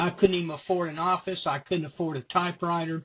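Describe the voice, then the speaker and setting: Here is a man. He has a normal speaking voice. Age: 60s. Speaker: retired lawyer. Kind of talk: testimonial interview.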